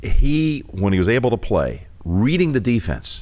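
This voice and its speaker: Very wide pitch swings in a man's speech, with noticeable background noise. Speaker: sportscaster. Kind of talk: interview answer. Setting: studio.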